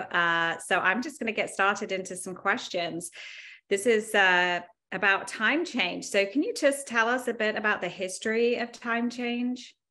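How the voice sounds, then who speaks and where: With an English accent, a woman speaks at a moderate pace in a fairly high pitch and a bright, sharp tone, using ordinary pitch variation over a quiet background. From England. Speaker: attorney and yoga instructor moderating a discussion. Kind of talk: interview moderation. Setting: video call. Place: home room. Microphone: video call.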